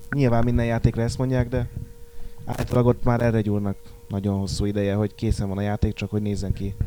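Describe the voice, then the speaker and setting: A man at a very fast pace, fairly low in pitch and monotone, over noticeable background noise. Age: young. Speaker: magazine editor. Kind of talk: casual chat.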